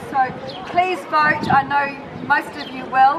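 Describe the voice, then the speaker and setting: Someone with a New Zealand accent speaks at a fairly slow pace with ordinary pitch variation over noticeable background noise. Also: woman. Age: 60s. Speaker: political candidate. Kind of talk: speech at a rally. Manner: hesitant with many fillers.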